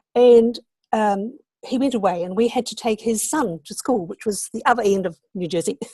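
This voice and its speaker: A woman's fairly high, somewhat breathy voice with a dark, mellow tone, ordinary pitch variation and big swings in loudness, at a moderate pace, in a dry, close sound with no echo. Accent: New Zealand. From New Zealand. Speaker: online entrepreneur, interview guest. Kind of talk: online interview.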